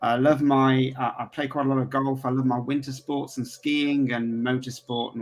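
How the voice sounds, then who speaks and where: He speaks with an English accent at a moderate pace. The man's pitch sits in the medium range. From England. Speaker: referral marketing entrepreneur. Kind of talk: casual interview. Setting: home office, video call.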